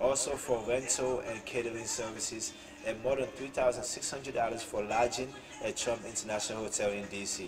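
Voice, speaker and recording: Over faint music in the background, a man speaks at a moderate pace with monotone, flat intonation. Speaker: political commentary vlogger. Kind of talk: commentary reading news article. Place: home room. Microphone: webcam.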